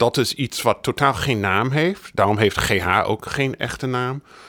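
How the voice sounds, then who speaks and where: Recorded very cleanly against a silent background, with a dry, close sound and no echo, a man talks at a medium pitch with lively intonation. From United States. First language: English (speaking Dutch). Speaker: biographer. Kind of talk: interview.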